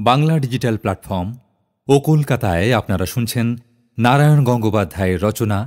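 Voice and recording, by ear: The speaker reads aloud in a natural voice. The background is quiet.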